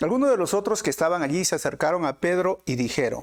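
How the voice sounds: Fast-paced and lively in intonation, a man speaks with a fairly high pitch.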